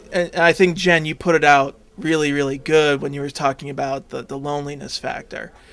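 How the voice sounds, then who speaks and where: A man's normal speaking voice, fairly high in pitch and fairly even in intonation, at a fairly quick pace with hardly any pauses and big swings in loudness. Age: 20s. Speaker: support group host with Asperger's. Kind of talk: group discussion.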